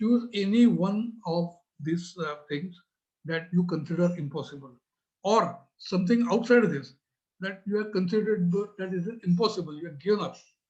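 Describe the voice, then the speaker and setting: A man speaks with an Indian accent. His voice is high and his pace is moderate. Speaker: business trainer. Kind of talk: talk. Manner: hesitant, many fillers.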